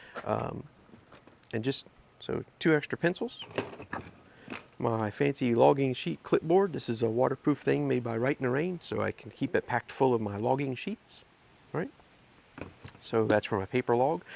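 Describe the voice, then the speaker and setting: A man speaks with long, frequent pauses, recorded dry and close with no echo but with noticeable background noise. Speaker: ham radio YouTuber. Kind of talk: casual gear show-and-tell. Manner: fast; hesitant, many fillers.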